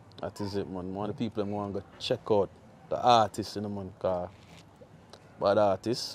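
A man speaks in a fairly low, flat, monotone voice with long, frequent pauses. The sound is dry with no echo, over light background noise. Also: moderate pace. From Jamaica. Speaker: music interviewer / show host; music interviewer, show host. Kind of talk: casual interview. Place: street.

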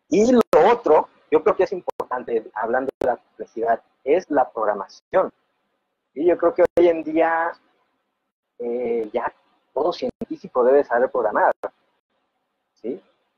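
Speaking fairly slowly, a man with a fairly high pitch swings his pitch very widely and pauses often and at length, the sound dry with no echo. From coastal Mexico. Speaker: fluid simulation researcher. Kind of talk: casual interview. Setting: video call. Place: home room. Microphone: video call.

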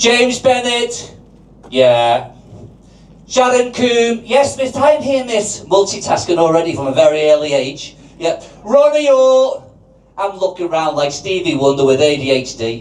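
A man speaks at a fairly slow pace and a high pitch, with very wide pitch swings. Audible room echo and noticeable background noise fill the recording. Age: 60s. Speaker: amateur comedian. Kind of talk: stand-up. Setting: stage with audience.

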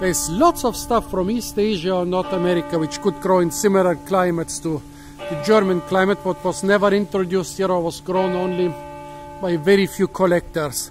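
A man's high voice at a fairly quick pace, ordinary pitch variation, dry with no echo, over clear music in the background. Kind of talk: casual educational commentary. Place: garden. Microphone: phone near.

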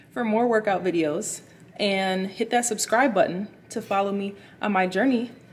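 Light background noise behind a woman speaking at a fairly slow pace. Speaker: fitness vlogger. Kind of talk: casual vlog chat. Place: gym. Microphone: phone near.

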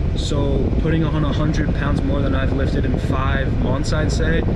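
Loud background noise sits behind a man speaking at a moderate pace. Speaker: fitness vlogger. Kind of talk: casual vlog chat. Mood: relaxed, content. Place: car. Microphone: phone near.

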